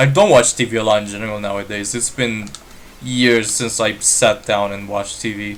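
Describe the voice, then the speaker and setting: A man with a Romanian accent speaks at a moderate pace and a medium pitch. Noticeable background noise sits behind him. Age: 20s. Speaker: gaming streamer. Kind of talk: live stream gameplay chat. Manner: hesitant, many fillers. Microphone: built-in laptop mic.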